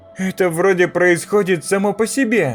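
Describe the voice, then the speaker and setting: Over faint background music, a man uses a put-on character voice pitched high for a man. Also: moderate pace. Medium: read story. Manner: timid, polite.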